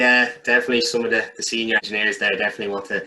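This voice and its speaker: A man at a very fast pace, with an Irish accent. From Ireland, County Kildare. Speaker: graduate electrical engineer. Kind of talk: casual interview.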